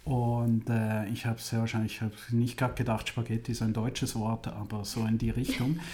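A man speaks at a moderate pace and medium pitch in a dark, mellow, somewhat breathy tone, with flat, monotone intonation, very even loudness and hardly any pauses. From Switzerland, Zurich area. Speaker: music university president. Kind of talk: interview.

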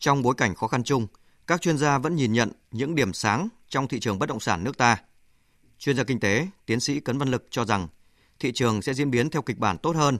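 Against a quiet background, a man talks at a very fast pace with lively intonation and long, frequent pauses, the sound dry and close with no echo. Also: medium pitch for a man. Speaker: radio news presenter. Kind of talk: news reading. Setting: studio.

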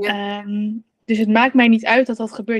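At a moderate pace, a woman talks in a fairly high-pitched voice. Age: 30s. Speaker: coach for mothers on relationship with food. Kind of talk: casual interview chat.

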